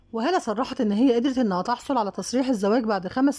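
Lively intonation marks this woman's fairly high voice, which has a dark, mellow tone and an Egyptian accent. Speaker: celebrity news YouTuber. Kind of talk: scripted narration.

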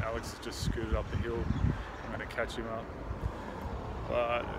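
A man's voice against loud background noise. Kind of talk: casual vlog chat. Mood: upbeat, looking forward. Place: waterside. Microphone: phone near.

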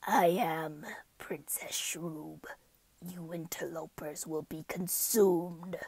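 A put-on character voice whispers very slowly, hissing. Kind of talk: casual voice recording outtakes. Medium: dub. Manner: hissing, whispered.

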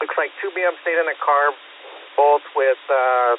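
A man at a fairly slow pace, dry sound with no echo, light background noise. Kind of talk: radio traffic report. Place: street. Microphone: two way radio.

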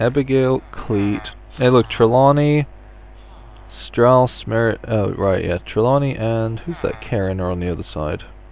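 A man with an ordinary speaking voice, medium pitch and lively intonation, at a fairly slow pace. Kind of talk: casual gameplay chat.

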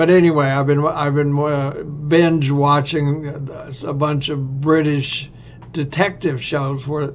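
Speaking very slowly, a man uses a Texan accent and a fairly high pitch. His intonation is monotone and flat, with light background noise. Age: old. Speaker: vlogger. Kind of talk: casual monologue. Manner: halting. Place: home room. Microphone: webcam.

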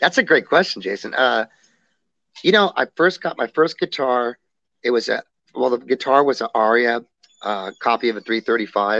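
A man with an American accent, medium-pitched, bright and sharp in tone, lively in intonation, at a fairly slow pace, in a dry sound with no echo. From Southern California, Montebello; Southern California. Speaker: rock singer and guitarist; guest. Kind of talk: interview. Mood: warm, reflective.

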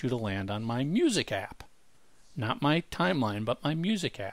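A man talks at a moderate pace, recorded dry with no echo. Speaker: podcast co-host. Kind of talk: podcast discussion. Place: home room. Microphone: headset.

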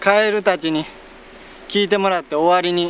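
High-pitched male speech at a moderate pace, dry with no echo, over light background noise. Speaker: comedian vlogger. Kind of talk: casual vlog chat. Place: open country. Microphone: camera far.

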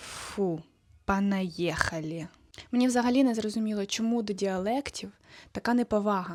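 A woman's medium-pitched voice, a plain, everyday voice with ordinary pitch variation, in a very clean recording with a silent background. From southern Ukraine, Kherson region. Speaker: video blogger. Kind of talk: casual vlog monologue.

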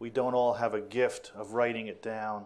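The speaker goes at a moderate pace over light background noise. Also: man. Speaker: hospital executive. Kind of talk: introductory remarks. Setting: stage with audience. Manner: halting. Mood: warm, appreciative. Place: classroom. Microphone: lapel.

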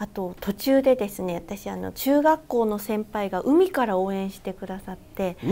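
Speaking at a moderate pace with hardly any pauses, a woman has a dark, mellow tone, ordinary pitch variation and big swings in loudness. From Fukuoka, Japan; Japan. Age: 30s. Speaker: fitness instructor and marathon runner; fitness instructor. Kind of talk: casual interview. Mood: friendly, upbeat. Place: studio. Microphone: lapel.

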